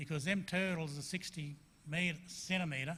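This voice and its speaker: A man speaks with a bright, sharp tone. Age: 60s. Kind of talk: presentation to a school assembly. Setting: school assembly.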